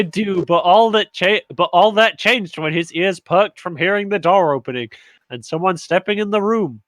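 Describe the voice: What you hear is plain reading aloud.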